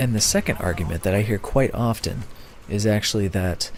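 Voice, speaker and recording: Speaking at a moderate pace with a fairly low pitch, the man has an ordinary speaking voice. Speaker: gamer. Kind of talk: casual talk to camera, opinion piece.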